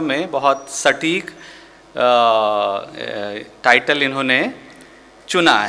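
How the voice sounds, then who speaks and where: Noticeable background noise fills the clip. Through it, a man talks with ordinary pitch variation. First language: Maithili (speaking Hindi). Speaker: museum director and art historian. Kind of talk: formal lecture. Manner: hesitant with fillers.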